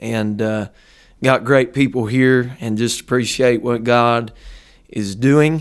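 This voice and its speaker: A man speaks with an American accent at a medium pitch. His pace is very slow and his intonation fairly even. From Ohio, near Dayton. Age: 20s. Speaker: pastor. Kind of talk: casual interview; sermon-style teaching.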